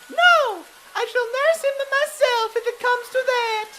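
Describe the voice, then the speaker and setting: A woman puts on a squeaky character voice at an extremely high pitch. She speaks at a fairly slow pace with ordinary pitch variation. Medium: audio drama. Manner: folksy, plainspoken.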